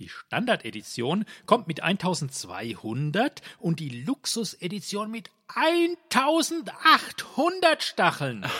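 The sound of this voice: A man puts on a character voice with a high pitch, big pitch swings and a bright, sharp tone with a slightly husky edge. He talks at a fairly slow pace with few pauses.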